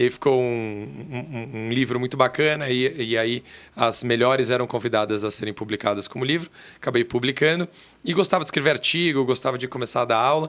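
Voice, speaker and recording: Speaking in a São Paulo accent, a man keeps a moderate pace with ordinary pitch variation. The recording is very clean with a silent background. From Brazil, São Paulo city. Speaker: corporate lawyer. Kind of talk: podcast interview. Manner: halting, with many fillers.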